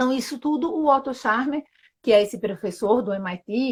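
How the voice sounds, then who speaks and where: Somewhat breathy, a woman talks at a moderate pace with ordinary pitch variation. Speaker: sustainability journalist and Theory U facilitator. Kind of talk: live-stream interview explanation. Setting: live video stream.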